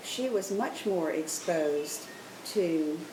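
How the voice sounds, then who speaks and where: Over noticeable background noise and audible room echo, a woman speaks with a Charleston accent. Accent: Southern US (Charleston). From US South, Charleston, South Carolina. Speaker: grandmother interviewed about her past. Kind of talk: interview.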